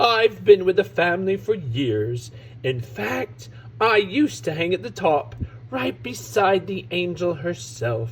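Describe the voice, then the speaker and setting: A man's put-on character voice at medium pitch, with very wide pitch swings, a fairly slow pace and clear background noise. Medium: read story.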